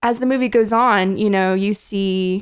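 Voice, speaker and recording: This woman has an unremarkable speaking voice, medium in pitch, with fairly even intonation and a moderate pace. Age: 20s. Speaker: podcast host. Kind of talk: casual chat. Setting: video call.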